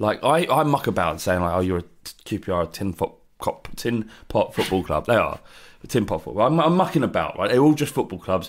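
Someone with a Cockney accent talks at a fairly quick pace, pitch swinging very widely. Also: man, medium pitch for a man. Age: 30s. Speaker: football podcast co-host. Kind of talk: casual chat.

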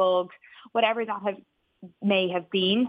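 A woman's voice in an Irish accent, monotone and flat in intonation. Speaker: business founder. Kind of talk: radio interview.

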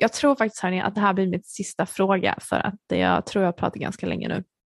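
A woman of medium pitch speaks at a moderate pace with fairly even intonation, the sound dry and close with no echo over a quiet background. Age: 30s. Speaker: podcast host. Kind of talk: casual monologue.

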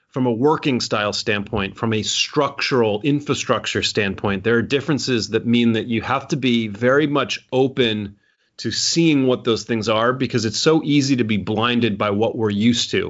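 A man's an unremarkable speaking voice, medium in pitch with ordinary variation, at a moderate pace with an American accent. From United States. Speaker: author and business consultant. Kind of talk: interview. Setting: remote call.

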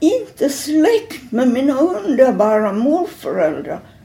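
A woman speaks at a very slow pace with very wide pitch swings, over noticeable background noise. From Finland, Helsinki. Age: 80s+. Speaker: elderly artist and typographer. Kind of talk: interview. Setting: at her home. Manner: halting.

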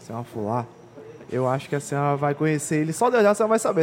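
A man speaks very fast with very wide pitch swings. His voice sits fairly high. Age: 20s. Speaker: podcast host. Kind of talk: casual interview. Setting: hotel.

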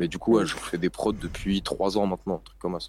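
A man talks at a fairly quick pace. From northern France, Lille. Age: 20s. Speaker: rapper. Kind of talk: interview. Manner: casual.

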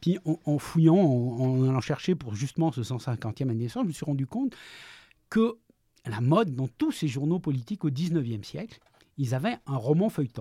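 A man's fairly high-pitched, somewhat breathy voice with a dark, mellow tone and lively intonation, in a dry, close sound with no echo. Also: moderate pace. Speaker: freelance journalist and novelist. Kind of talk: interview. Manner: halting, frequent repetitions.

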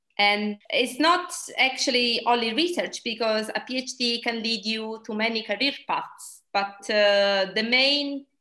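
Speaking fairly slowly with an Italian accent, a woman uses a fairly high pitch, ordinary pitch variation and a bright, sharp tone against a quiet background. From Italy. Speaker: dietitian and researcher. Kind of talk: interview.

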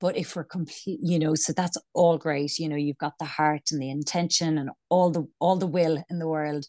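Against a quiet background, a woman with an Irish accent speaks at a moderate pace with hardly any pauses, her very deep, low pitch and dark, mellow tone delivered in a monotone, flat way, recorded dry and close with no echo. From Ireland. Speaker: business coach and founder. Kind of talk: casual interview chat. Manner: hesitant, filler-heavy.

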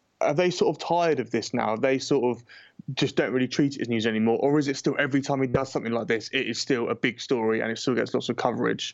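With a British accent, a man talks at a very fast pace. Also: medium pitch for a man, ordinary pitch variation. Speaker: politics podcast host. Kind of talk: casual chat. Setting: remote call to New York.

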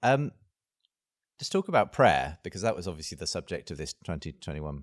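A man with a very deep, low voice and vocal fry speaks with lively intonation in a dry, close recording with no echo. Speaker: podcast co-host. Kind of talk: interview.

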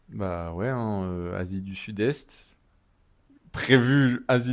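Fairly low in pitch, this man has an unremarkable speaking voice with ordinary pitch variation. The recording is very clean, with a silent background. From Paris, France. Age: 20s. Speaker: travel podcast co-host. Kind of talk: casual chat.

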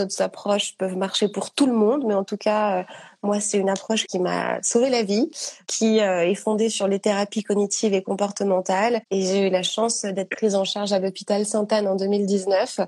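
Over a quiet background, a woman uses an ordinary speaking voice at medium pitch, a moderate pace and fairly even intonation. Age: 30s. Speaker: author sharing eating disorder experience. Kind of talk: testimony in live interview. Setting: Instagram live.

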